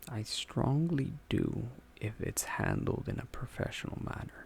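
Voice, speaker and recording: A soft-spoken whisper. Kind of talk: ASMR personality quiz talk-through. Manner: whispered, soft-spoken.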